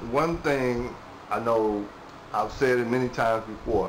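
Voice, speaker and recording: A man talks at a medium pitch amid noticeable background noise and audible echo from the room. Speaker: vlogger. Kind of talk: casual monologue. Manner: halting; rambling filler-heavy.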